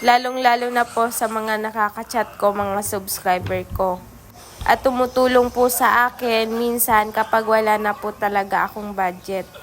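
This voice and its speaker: Speaking at a fairly slow pace, a woman uses a fairly high pitch and monotone, flat intonation. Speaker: vlogger. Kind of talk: vlog voice-over narration. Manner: stumbles over words at times; polite, many po.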